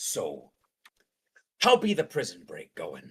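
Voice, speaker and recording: Here a man performs a put-on character voice. He delivers it at a fairly slow pace. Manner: quiet, covert, mocking.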